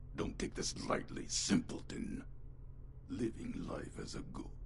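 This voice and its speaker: A man speaks in a put-on character voice pitched extremely high for a man, at a fairly slow pace. Loud background noise runs behind him. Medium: video game. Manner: gruff, menacing.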